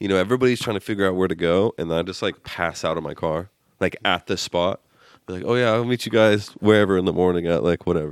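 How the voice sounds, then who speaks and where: Speaking at a very fast pace, a man with a very deep, low pitch is heard in a dry, close, echo-free recording with a silent background. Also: ordinary pitch variation. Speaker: podcast host. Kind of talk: casual banter.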